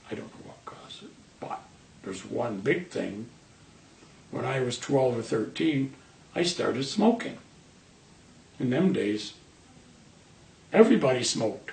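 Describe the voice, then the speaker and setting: A man speaks at a moderate pace with long, frequent pauses, very wide pitch swings and big swings in loudness. Audible room echo surrounds his voice. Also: medium pitch for a man. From northern England, Manchester. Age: 70s. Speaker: cancer patient, retired sheet metal worker. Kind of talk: interview.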